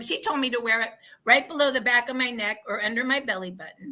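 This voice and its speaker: A woman's high, bright, sharp voice with an American accent, raised and projected, animated in tone, with ordinary pitch variation. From Oregon, US. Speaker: wellness product promoter. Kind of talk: casual interview chat.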